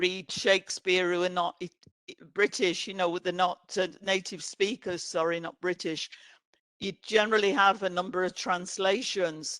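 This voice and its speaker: At a fairly slow pace, a woman with an English accent speaks at a medium pitch with fairly even intonation, the sound dry and close with no echo. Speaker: author and playwright. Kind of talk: book presentation interview. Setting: online event.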